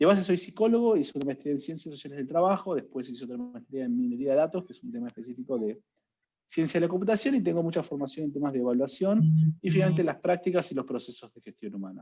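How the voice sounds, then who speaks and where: A man with an Argentine accent talks at a very fast pace and a fairly high pitch, with a dark, mellow tone. His pitch swings very widely, and his loudness swings a lot too. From Argentina. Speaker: HR analytics consultant. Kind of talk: webinar talk.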